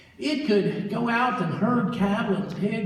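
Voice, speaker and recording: A man speaks in a high pitch with ordinary pitch variation, with audible room echo and noticeable background noise. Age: 70s. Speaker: storyteller. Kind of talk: storytelling to a live audience. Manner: conversational, with hesitations.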